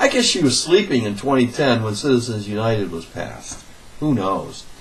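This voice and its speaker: A man with an American accent talks as noticeable background noise carries on. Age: 60s. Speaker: political commentator. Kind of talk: political rant. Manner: animated.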